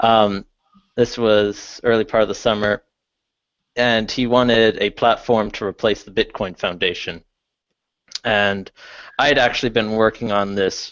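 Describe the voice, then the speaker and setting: Speaking at a fairly slow pace in a Canadian accent, a man keeps a fairly low pitch and fairly even intonation. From Canada. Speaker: tech speaker, PhD student. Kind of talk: talk to a meetup. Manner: hesitant, many fillers.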